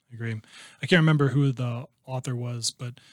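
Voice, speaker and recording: A man speaks with fairly even intonation and a somewhat breathy voice. The sound is dry and close, with no echo. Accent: Midwestern American. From southwest Iowa. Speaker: sales manager and real estate investor. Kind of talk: casual interview.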